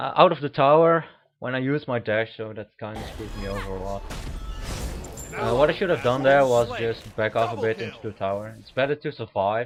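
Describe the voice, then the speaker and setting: A man's medium-pitched voice at a fairly quick clip, ordinary pitch variation, music playing behind him. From Netherlands. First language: Dutch. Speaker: gaming commentator. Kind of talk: gameplay commentary. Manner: halting.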